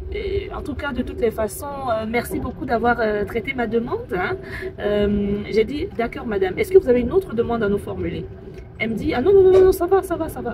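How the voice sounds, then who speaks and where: A woman with a high pitch speaks at a moderate pace, her pitch swinging very widely. Noticeable background noise runs underneath. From Cameroon. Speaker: call centre agent. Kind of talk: casual talk to camera, storytelling. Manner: hesitant, many fillers.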